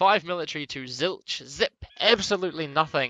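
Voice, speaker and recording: A man speaks in a bright, sharp tone with ordinary pitch variation. The sound is dry and close with no echo, over a quiet background. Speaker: esports caster. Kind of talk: live commentary. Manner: fast.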